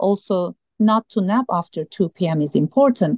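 A woman speaks with a Turkish accent, her voice recorded dry and close with no echo. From Turkey. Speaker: sleep medicine doctor. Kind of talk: radio interview.

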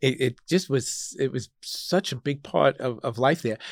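A man with an American accent has a normal speaking voice, medium pitch, ordinary pitch variation and a fairly slow pace. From Long Island, New York (Suffolk County). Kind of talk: interview conversation. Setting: studio.

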